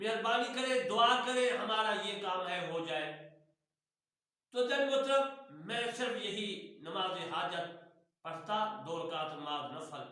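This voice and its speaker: A man with a high pitch raises his voice and projects it, leaving long, frequent pauses. Audible room echo surrounds him. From Punjab, Pakistan. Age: old. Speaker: retired imam and religious teacher. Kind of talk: religious instruction.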